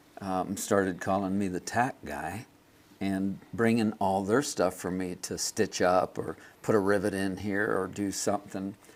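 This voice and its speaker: Speaking with a General American accent, a man has a fairly low pitch. He talks at a fairly slow pace with fairly even intonation. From Los Angeles, California. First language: German. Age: 60s. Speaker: leather craftsman. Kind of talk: interview. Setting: studio. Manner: halting, many fillers and repeats.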